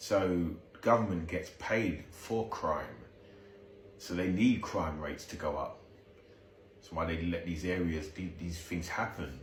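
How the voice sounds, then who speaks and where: A man talks at a fairly slow pace with long, frequent pauses, in a very deep, low, somewhat breathy voice with ordinary pitch variation. His loudness swings widely, and room echo is audible. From South East London. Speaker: video commentator. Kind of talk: reaction commentary. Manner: halting, repetitive.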